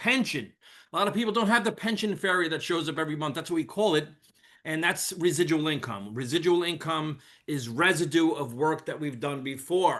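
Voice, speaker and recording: Talking at a fairly quick pace, a man uses a high, bright, sharp voice with ordinary pitch variation. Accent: New York. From New York. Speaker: network marketer, former police officer and firefighter. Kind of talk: sales pitch. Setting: video call. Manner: casual.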